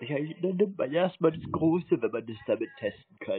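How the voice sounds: A man's fairly high voice with a husky, rough edge, lively intonation and a moderate pace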